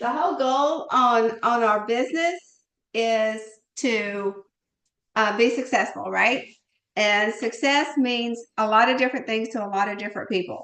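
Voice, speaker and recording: A woman speaks at a fairly slow pace in a fairly high pitch, with ordinary pitch variation. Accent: Southern US. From US South. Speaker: network marketing team leader. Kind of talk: live online team call. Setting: video call. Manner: animated.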